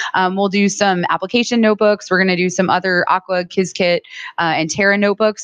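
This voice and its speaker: A woman talks very fast at a medium pitch with monotone, flat intonation, in a dry, close sound with no echo. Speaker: software workshop presenter. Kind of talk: workshop presentation. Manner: loud.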